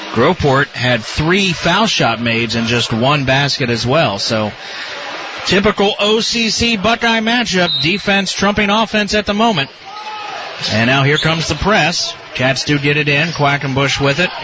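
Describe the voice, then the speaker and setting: A man's fairly high voice swings very widely in pitch while his loudness stays very even. Background noise is noticeable. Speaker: radio play-by-play announcer. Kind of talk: live play-by-play sports commentary. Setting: courtside at a high school gym, radio broadcast.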